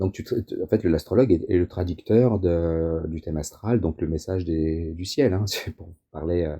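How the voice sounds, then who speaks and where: A man's very deep, low voice, somewhat breathy and dark, mellow in tone, with ordinary pitch variation and a quiet background. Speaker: astrologer. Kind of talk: interview. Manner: fast; hesitant, repeats words.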